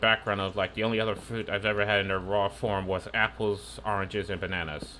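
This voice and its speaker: Over light background noise, a man races along very fast with hardly any pauses, his fairly low voice bright and sharp in tone with vocal fry and ordinary pitch variation. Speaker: gaming streamer. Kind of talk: live gameplay commentary. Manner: animated. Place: home room. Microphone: headset.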